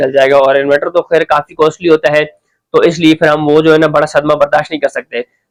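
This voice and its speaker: The recording is dry and close, without any echo. It captures a man talking. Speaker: tech tutorial youtuber. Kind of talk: tutorial. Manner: halting.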